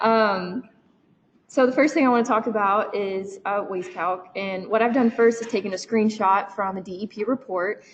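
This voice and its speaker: Speaking with a Kentucky accent, a woman uses a fairly high pitch and ordinary pitch variation at a moderate pace. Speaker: research student. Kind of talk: technical presentation. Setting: meeting room with online attendees.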